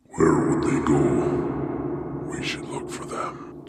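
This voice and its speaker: Someone uses a put-on character voice at a very slow pace. There is strong echo on the recording. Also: man. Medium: read story. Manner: slurred, airy whisper.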